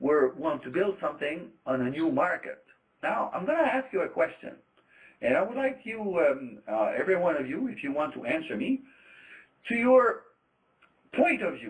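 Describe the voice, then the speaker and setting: This man has a high voice for a man with very wide pitch swings, talking at a moderate pace broken by long, frequent pauses. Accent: Quebec. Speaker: trade trainer, former trader. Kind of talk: lecture. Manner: hesitant, many fillers.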